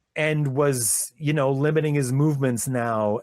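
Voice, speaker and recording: A man speaks at a very slow pace, his pitch medium with ordinary variation. The sound is dry and close, with no echo. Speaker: podcast host. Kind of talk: casual chat. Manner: animated; loud.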